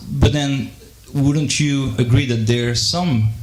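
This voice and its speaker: A man speaks with a French accent over noticeable background noise, with audible room echo. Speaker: audience member asking question. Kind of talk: Q&A question from audience. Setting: live debate with audience. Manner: halting, many fillers and repetitions.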